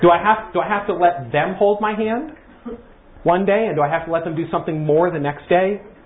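Noticeable background noise sits behind a man's high-pitched voice. He speaks at a fairly quick pace with ordinary pitch variation. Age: 60s. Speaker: church workshop teacher. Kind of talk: interactive workshop talk. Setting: room with live audience. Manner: conversational, halting.

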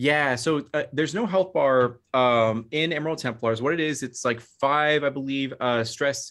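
A man has an unremarkable speaking voice at a medium pitch with ordinary pitch variation. He talks at a moderate pace against a quiet background. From Phoenix, Arizona, US (Mexican American). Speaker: gaming content creator and game designer. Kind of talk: casual interview.

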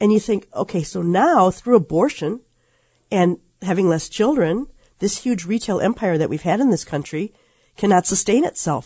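At a moderate pace, a woman speaks in a dark, mellow tone that is somewhat breathy. The background is quiet. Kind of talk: talk radio discussion.

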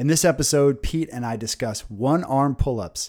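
A man with a medium pitch speaks at a moderate pace in an unremarkable speaking voice. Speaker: podcast host. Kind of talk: interview chat. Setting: Hong Kong.

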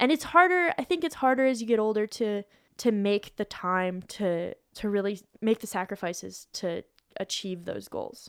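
With an American accent and lively intonation, a woman speaks at a moderate pace in an unremarkable speaking voice of fairly high pitch, in a very clean, dry, close recording with no echo and a silent background. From Colorado, US. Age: 30s. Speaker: professional climber. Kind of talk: casual chat.

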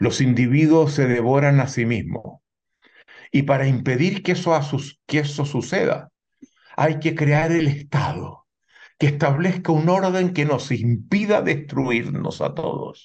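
Somewhat breathy, a man talks at a fairly slow pace in a fairly high pitch. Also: ordinary pitch variation. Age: 70s. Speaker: sociologist and author. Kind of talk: interview.

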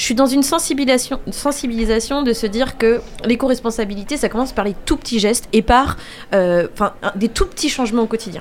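With noticeable background noise behind her, a woman speaks fairly quickly in a fairly high voice with ordinary pitch variation. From France, Angers. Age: 30s. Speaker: children's educator and event business owner. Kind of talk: radio interview.

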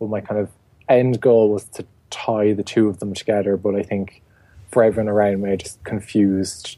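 With an Irish accent, a man speaks in a fairly low pitch at a moderate pace, his intonation monotone and flat. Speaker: garden blogger and writer. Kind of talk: interview.

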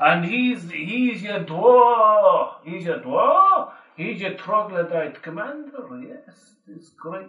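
A man puts on a character voice with a Deep South accent, high in pitch. He speaks at a very slow pace with slight echo. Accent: dodgy Deep South American.

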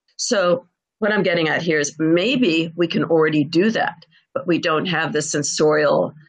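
A woman's plain, everyday voice, fairly low in pitch, with ordinary pitch variation and a fairly slow pace. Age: 60s. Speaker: professor and futurist author. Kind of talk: interview.

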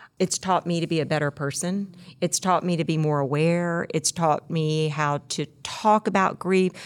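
A woman with a Mississippi accent, fairly low pitch, ordinary pitch variation and a moderate pace, in a very clean recording with a silent background and a dry, close sound with no echo. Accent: US Southern (Mississippi). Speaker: podcast co-host. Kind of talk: reflective conversation segment. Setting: studio.

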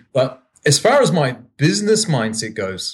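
Somewhat breathy, a man talks with a New Zealand accent. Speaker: startup founder. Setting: video call from Japan.

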